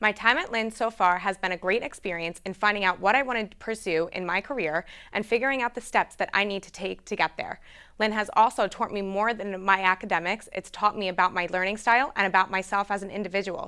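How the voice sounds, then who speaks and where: A woman with an American accent talks at a very fast pace in a medium pitch, her tone bright and sharp, her pitch varying in an ordinary way, on a very clean recording with a silent background. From Long Island, New York. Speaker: student news presenter. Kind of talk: scripted student news segment.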